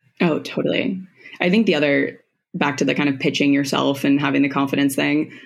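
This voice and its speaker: She speaks at a fairly quick pace with a very deep, low pitch and vocal fry. Her loudness stays very even, and her pitch varies in an ordinary way. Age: 20s. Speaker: social media creator. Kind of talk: casual chat.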